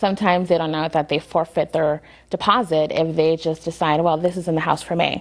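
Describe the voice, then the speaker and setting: This speaker has a Spanish accent and a monotone, flat intonation. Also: woman, fairly low pitch for a woman. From Lawrence, Massachusetts. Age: young. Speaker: attorney. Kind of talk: interview. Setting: studio.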